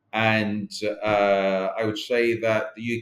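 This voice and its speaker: A man speaks with a South London accent. His pitch is medium. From South London, England. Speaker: company chief executive. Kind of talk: interview. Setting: podcast. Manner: halting, many fillers.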